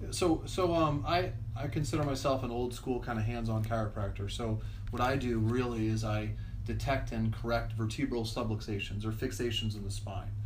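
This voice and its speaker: At a moderate pace, a man talks amid audible room echo and noticeable background noise. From Florida, Tampa Bay area (moved from Pennsylvania as a child). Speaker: chiropractor. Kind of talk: interview. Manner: halting.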